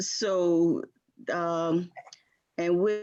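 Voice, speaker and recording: Here a woman with a Southern US accent talks at a medium pitch with ordinary pitch variation. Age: 60s. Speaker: community group participant. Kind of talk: group video call discussion.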